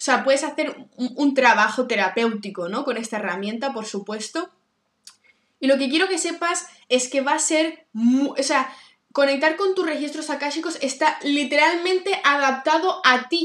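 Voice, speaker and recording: A woman's high-pitched, animated voice at a moderate pace, with lively intonation and big swings in loudness. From Barcelona, Spain. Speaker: podcast host and Akashic records reader. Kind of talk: casual solo monologue. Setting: home living room. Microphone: laptop with microphone.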